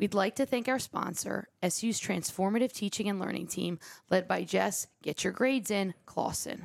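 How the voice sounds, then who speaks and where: A woman with vocal fry talks at a medium pitch and a moderate pace. Her ordinary pitch variation comes through a dry, close sound with no echo. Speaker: podcast co-host. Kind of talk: casual conversation.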